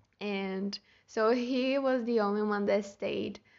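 At a very slow pace, a woman is talking. Her pitch sits in the medium range. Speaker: podcaster. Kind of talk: casual solo monologue. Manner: halting, with self-corrections; frequent laughter.

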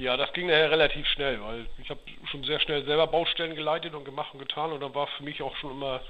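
Against noticeable background noise, a man with a fairly high pitch talks at a very fast pace. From Schleswig-Holstein, Dithmarschen (northern Germany). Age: 40s. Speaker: heating business owner. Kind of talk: interview.

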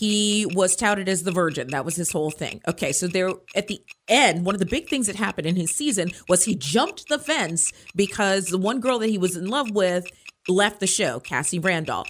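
A woman talks at a fairly quick pace with lively intonation. She has a plain, everyday voice. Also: medium pitch for a woman. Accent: American. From Maryland (Hyattsville). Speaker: radio host. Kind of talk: casual chat.

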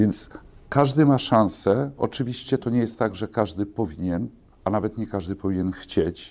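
An unremarkable speaking voice from a man, fairly low in pitch, at a moderate pace with ordinary pitch variation. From Poland, small town. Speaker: bank executive. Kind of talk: interview. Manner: formal.

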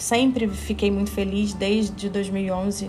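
A woman's monotone, flat voice with audible room echo. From Rio de Janeiro, Brazil. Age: 30s. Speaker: podcast host and psychotherapist. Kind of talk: monologue podcast introduction.

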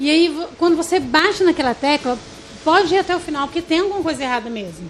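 Her delivery is very fast, with lively intonation. Noticeable background noise runs under this woman's voice. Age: 40s. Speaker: pastor. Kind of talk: casual chat.

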